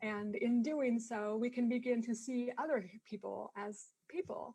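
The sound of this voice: A woman speaks at a fairly slow pace in a fairly high voice with ordinary pitch variation. Her tone is dark and mellow, with a slightly husky edge.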